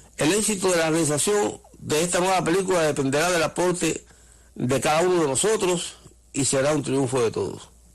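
Keeping a very even loudness, a man with a high pitch speaks at a fairly quick pace with ordinary pitch variation. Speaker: radio host, former political prisoner. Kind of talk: radio talk program.

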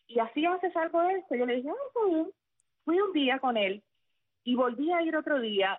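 A woman talks fairly quickly, her pitch swinging very widely. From central Cuba (Sagua la Grande). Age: 40s. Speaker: former radio announcer turned teacher. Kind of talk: interview.

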